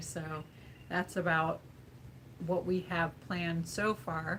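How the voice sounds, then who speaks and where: Somewhat breathy and fairly slow, the voice stays monotone with flat intonation. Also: woman. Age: 50s. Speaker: vlogger, live stream co-host. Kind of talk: casual live stream chat.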